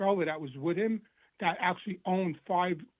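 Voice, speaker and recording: In a New York accent, a man with a high pitch talks at a very fast pace with fairly even intonation. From New York City, Queens. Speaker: former mobster in recovery. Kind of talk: interview testimony. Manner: halting, repetitive.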